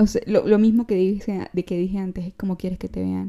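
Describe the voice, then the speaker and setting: Speaking very fast, a woman holds a medium pitch with monotone, flat intonation. Her tone is dark and mellow. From Venezuela, San Cristóbal. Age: 20s. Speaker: podcast host. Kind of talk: casual monologue.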